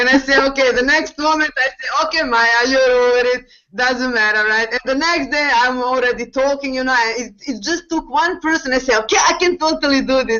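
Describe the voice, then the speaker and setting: A woman with a non-native accent, high-pitched and fairly quick, with hardly any pauses and ordinary pitch variation. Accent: foreign accent, non-native English. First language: not English. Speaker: network marketing distributor. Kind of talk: panel discussion on video call. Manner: halting, many fillers.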